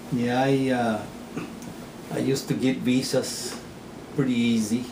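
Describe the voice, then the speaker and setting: A man speaks at a medium pitch with fairly even intonation and very even loudness. The room echo is audible and background noise is noticeable. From Texas. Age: 60s. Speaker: farmer. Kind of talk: interview. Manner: halting.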